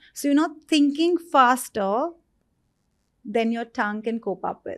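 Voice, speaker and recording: Speaking at a fairly slow pace, a woman uses a high pitch and lively intonation in a very clean recording with a silent background. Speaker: author and stammering survivor. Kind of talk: interview.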